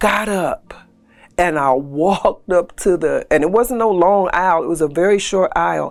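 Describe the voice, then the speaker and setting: A woman talks at a moderate pace with an American accent. She has an ordinary speaking voice. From US Northeast, Philadelphia. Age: 60s. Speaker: church member telling her conversion story. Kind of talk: testimony.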